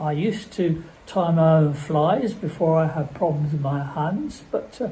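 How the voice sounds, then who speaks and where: This man has a fairly high pitch and a dark, mellow tone. He talks at a fairly slow pace with ordinary pitch variation. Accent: southern English. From southern England, Surrey. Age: 70s. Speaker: bird breeder. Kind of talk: interview. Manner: halting, many fillers and repeats.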